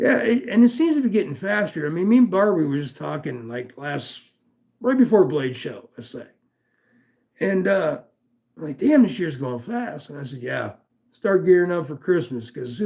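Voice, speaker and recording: The speaker has an American accent and makes very wide pitch swings. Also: man. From US West Coast, Los Angeles. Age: 60s. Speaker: livestream host, knife enthusiast. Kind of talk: casual live stream chat. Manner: casual, profane.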